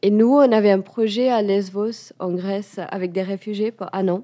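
In a dark, mellow tone, a woman at medium pitch talks at a fairly slow pace with fairly even intonation. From India, Goa and west coast cities. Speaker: chef. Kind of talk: interview conversation. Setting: in a restaurant. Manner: hesitant, searching for words.

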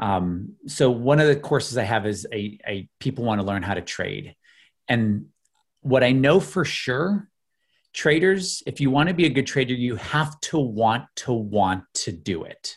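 A man with an American accent speaks at a fairly slow pace and medium pitch, somewhat breathy. His pitch swings very widely. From US Midwest, Illinois outside Chicago. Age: 40s. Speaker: investment educator. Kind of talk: interview.

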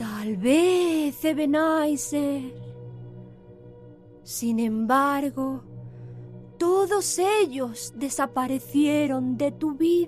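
A put-on, female-sounding character voice, high-pitched and very slow, with long, frequent pauses over clear background music. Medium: audio drama. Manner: soft, reproachful.

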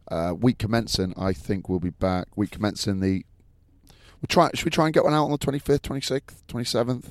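Speaking with an English accent at a fairly quick pace, a man's pitch swings very widely. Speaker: rugby pundit. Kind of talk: casual chat.

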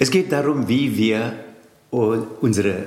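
A man speaks with audible room echo and noticeable background noise. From India, Tamil Nadu. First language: Tamil (speaking German). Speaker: yoga teacher and Sanskrit scholar. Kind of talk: interview. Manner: halting.

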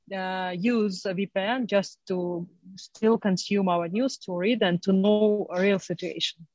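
A medium-pitched woman's voice in a non-native accent, very slow, with fairly even intonation and a dry, close sound with no echo. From Crimea. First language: not English. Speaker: journalist and editor. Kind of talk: panel discussion. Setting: video call. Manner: halting.

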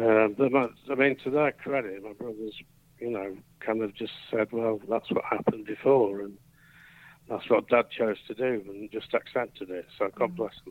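A man with a plain, everyday voice talks at a moderate pace and medium pitch, with fairly even intonation and big swings in loudness. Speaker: quizmaster. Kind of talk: casual quiz game chat. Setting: phone call.

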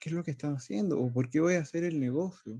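A man's fairly high yet dark, mellow voice in a dry, close sound with no echo. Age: 30s. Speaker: business development manager. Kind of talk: presentation.

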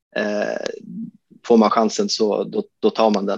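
The speaker here is a man. His voice sounds dry and close, without any echo. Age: 30s. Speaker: disc golf course designer. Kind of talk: casual interview.

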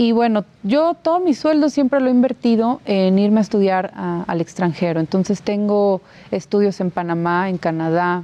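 A normal speaking voice at a moderate pace, with lively intonation and hardly any pauses. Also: woman, medium pitch for a woman. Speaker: borough mayor-elect. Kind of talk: interview.

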